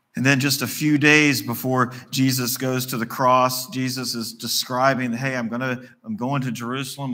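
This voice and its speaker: Bright and sharp in tone, a man speaks with fairly even intonation. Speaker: preacher. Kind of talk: sermon. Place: church.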